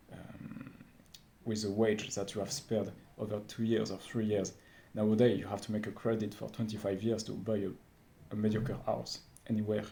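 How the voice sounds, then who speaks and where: With a French accent, a man talks in a dark, mellow tone at a fairly low pitch with vocal fry. His intonation is monotone and flat, his pace moderate, and his pauses long and frequent. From France. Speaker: vlogger. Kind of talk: unscripted monologue. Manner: halting, many fillers.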